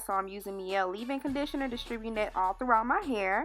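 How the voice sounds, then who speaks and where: A woman with ordinary pitch variation and music in the background. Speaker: hair tutorial creator. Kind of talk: casual tutorial talk to camera.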